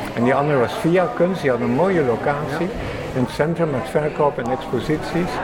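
A man's fairly high-pitched voice at a moderate pace, with hardly any pauses, over noticeable background noise. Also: ordinary pitch variation. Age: 80s+. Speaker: artist at a church art studio. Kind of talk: interview.

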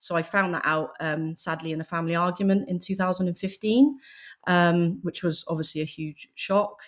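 A woman speaks at a moderate pace in a fairly low pitch, with ordinary pitch variation, on a very clean recording with a silent background. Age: 40s. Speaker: donor-conceived advocate. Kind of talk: casual chat. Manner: halting.

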